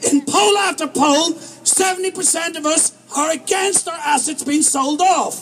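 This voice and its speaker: Noticeable background noise sits behind a man with an Irish accent. His pitch is extremely high and his pace moderate. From Ireland. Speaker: protest speaker. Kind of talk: rally speech. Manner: animated.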